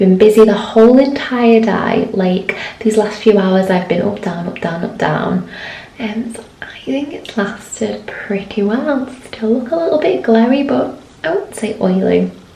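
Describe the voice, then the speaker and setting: A woman speaks quietly and fairly slowly, with a fairly high pitch, lively intonation and big swings in loudness. Audible room echo and noticeable background noise fill the recording. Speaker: beauty vlogger. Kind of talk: product review vlog.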